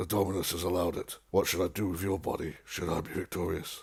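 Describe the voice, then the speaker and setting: Someone performs a raspy, put-on character voice at a very fast pace with monotone, flat intonation. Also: man, very deep, low pitch for a man. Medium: read story. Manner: grave, honourable.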